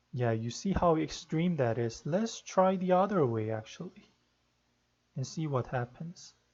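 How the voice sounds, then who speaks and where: Soft-spoken and fairly slow, a man talks at a fairly high pitch with lively intonation. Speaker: rhythm game tutorial maker; tutorial maker. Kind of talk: tutorial; screen-capture tutorial. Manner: hesitant. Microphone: no proper microphone, quiet; webcam.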